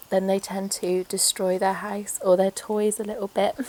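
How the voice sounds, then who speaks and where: Noticeable background noise accompanies a woman speaking at medium pitch. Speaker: pet owner, rabbit keeper. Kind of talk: casual talk to camera.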